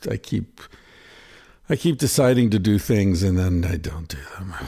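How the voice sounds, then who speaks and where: In a dark, mellow tone, a man speaks at a moderate pace with lively intonation, on a very clean recording with a silent background. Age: 50s. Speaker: podcast host. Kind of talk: solo monologue; casual chat. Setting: in a home kitchen.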